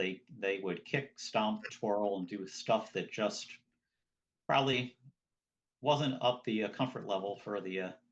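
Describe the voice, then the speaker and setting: With an American accent, a man speaks at a fairly low pitch with lively intonation. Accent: twang, noted by others. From southern New Jersey. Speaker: square dance caller. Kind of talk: interview.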